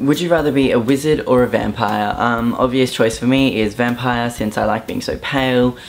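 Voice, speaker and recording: The speaker talks at a moderate pace in an Australian accent, with hardly any pauses. Noticeable background noise runs through the clip. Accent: Australian, moderately strong. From southeast Queensland, Australia (Brisbane area). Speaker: YouTuber. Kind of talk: casual vlog, accent tag. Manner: casual, hesitant fillers.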